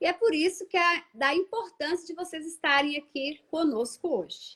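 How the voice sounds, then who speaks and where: This woman speaks with a Minas Gerais accent. Her pitch is extremely high. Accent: Minas Gerais (mineiro). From Minas Gerais, Brazil. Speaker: live show host, condominium law. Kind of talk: livestream host introducing guests. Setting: online livestream.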